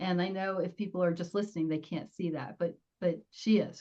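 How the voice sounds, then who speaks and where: Somewhat breathy and dark, mellow in tone, a woman with an American accent speaks at a moderate pace. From New Jersey. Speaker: public speaking coach. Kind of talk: interview.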